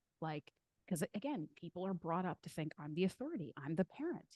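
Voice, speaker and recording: Dry and close with no echo, a woman with an ordinary speaking voice talks at fairly low pitch and a fairly quick pace. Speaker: podcast co-host. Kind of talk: casual chat.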